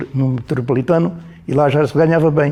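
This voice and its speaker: A man talks with a fairly high pitch and a dark, mellow tone. His intonation stays fairly even. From Alentejo, Portugal (Mértola, near the Spanish border). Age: 80s+. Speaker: former miner. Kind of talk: oral history interview answer.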